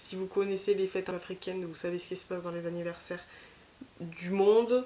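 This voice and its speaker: A woman speaks at a fairly quick pace in a fairly low pitch. Her intonation is monotone and flat. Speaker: vlogger. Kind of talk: casual vlog chat. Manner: hesitant, many fillers.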